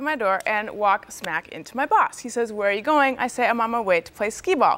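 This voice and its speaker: Her pitch high and swinging very widely, a woman talks at a fairly quick pace. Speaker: TV panelist. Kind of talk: TV panel commentary.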